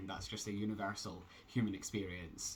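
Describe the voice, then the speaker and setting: A man speaks with a Scottish accent at a fairly quick pace. His pitch is fairly low and his intonation monotone and flat. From Scotland. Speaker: transgender vlogger. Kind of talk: casual vlog update. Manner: hesitant, many fillers.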